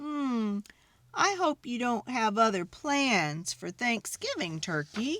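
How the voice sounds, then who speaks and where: Slipping into a put-on character voice, a female-sounding speaker goes at a fairly slow pace with a fairly high pitch and very wide pitch swings. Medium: read story.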